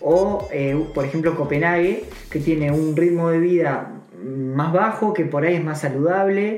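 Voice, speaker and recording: The voice has ordinary pitch variation, heard with audible room echo and noticeable background noise. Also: man, high pitch for a man, fairly slow pace. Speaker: podcast co-host. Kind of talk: casual interview.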